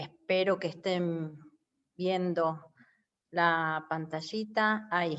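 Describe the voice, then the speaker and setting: Speaking at a very slow pace with long, frequent pauses, a woman with a Rioplatense accent keeps a fairly low pitch and fairly even intonation. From Uruguay. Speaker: lecturer. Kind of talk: lecture.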